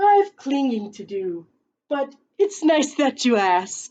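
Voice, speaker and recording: Putting on a character voice, a woman speaks at a fairly slow pace in a high pitch with very wide pitch swings. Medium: read story. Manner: hesitant, nervous.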